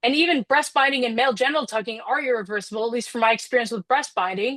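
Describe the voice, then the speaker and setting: A woman with an American accent talks very fast in a high pitch with ordinary pitch variation. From United States. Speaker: public hearing witness. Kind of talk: testimony.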